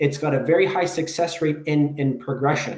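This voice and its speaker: A plain, everyday voice from a man talking at a moderate pace. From Canada, Toronto area. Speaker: behaviour analyst. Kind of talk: interview.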